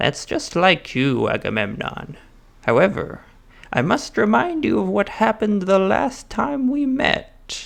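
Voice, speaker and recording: Putting on a character voice, a man speaks high for a man at a fairly slow pace. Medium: read story. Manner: grandiose, arrogant.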